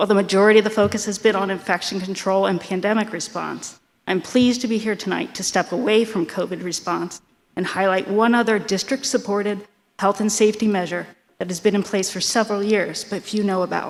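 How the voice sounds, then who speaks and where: A woman with a medium-pitched voice talks at a fairly quick pace, her intonation fairly even. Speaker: school nurse. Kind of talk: prepared speech at public meeting. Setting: school board meeting. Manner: fast.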